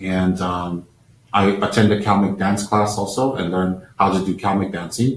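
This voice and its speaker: Speech moves at a moderate pace with fairly even intonation. It comes in an American accent. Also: man. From Taiwan, then New Jersey, US. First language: Chinese. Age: 50s. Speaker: Buddhist lama. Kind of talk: live-stream talk. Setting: live-stream over unstable connection. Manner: halting with fillers.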